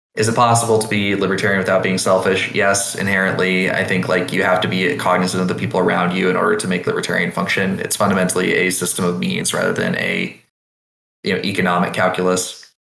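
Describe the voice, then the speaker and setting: A man with a very deep, low pitch speaks at a very fast pace with monotone, flat intonation, and audible room echo surrounds him. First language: not English; learned with French early on. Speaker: podcast guest, game writer. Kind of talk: casual chat.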